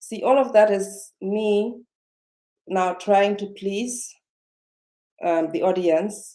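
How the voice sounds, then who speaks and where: With a non-native accent, a woman speaks very slowly in a dark, mellow tone of medium pitch, with ordinary pitch variation and long, frequent pauses. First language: not English. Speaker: self-development vlogger. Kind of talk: live-stream motivational talk. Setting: live video stream. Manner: slowed down, speaking carefully; halting, many fillers and repetitions.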